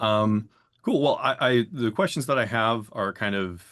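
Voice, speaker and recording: Against a quiet background, a man with an American accent speaks at a fairly low pitch with ordinary pitch variation. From Chicago, US Midwest. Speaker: panel moderator, audio studio owner. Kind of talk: panel discussion webinar.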